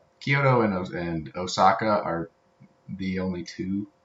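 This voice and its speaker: He is a man speaking with an Appalachian accent. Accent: Appalachian pronunciation. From Tennessee. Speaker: co-host. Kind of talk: casual chat.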